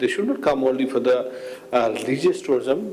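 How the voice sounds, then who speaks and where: A man at a moderate pace, with noticeable background noise and audible room echo. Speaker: panelist, tourism official. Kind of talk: conference Q&A answer. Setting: conference panel with audience.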